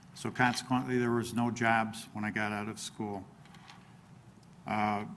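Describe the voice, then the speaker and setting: This man talks at a medium pitch with monotone, flat intonation. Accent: American. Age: 60s. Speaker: local politician, village president candidate. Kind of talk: candidate forum opening statement.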